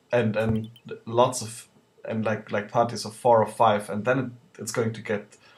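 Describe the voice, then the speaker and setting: A man talks at a moderate pace in a medium pitch with a non-native accent. His intonation stays monotone and flat. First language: not English. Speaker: video game let's player. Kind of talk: gameplay commentary. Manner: hesitant, many filler words.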